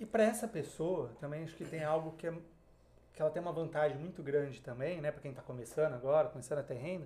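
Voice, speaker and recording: Fairly brisk speech in a man's fairly high voice, with normal pitch movement. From Brazil, Marília (São Paulo interior). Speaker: investment advisor. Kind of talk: podcast interview.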